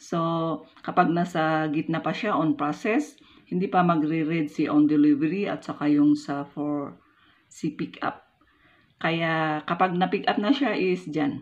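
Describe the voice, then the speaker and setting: A woman with a Filipino accent speaks in a very deep, low pitch at a fairly slow pace. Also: ordinary pitch variation. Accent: stiff, non-Manila Filipino pronunciation. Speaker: vlogger. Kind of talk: tutorial. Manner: occasionally stumbling over words. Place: home room. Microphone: phone near.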